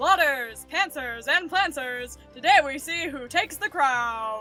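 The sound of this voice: A put-on character voice pitched high moves at a fairly slow pace over clear music in the background.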